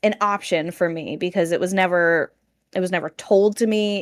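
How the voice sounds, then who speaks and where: A woman with an unremarkable speaking voice talks at a moderate pace and medium pitch. Her pitch varies normally, and the sound is dry and close with no echo. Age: 30s. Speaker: content creator. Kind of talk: casual chat.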